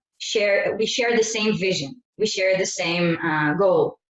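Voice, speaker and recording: With an Israeli accent, a woman talks at a moderate pace and medium pitch, with ordinary pitch variation. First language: Hebrew. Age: 30s. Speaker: network marketing presenter. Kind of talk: sales presentation. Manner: halting.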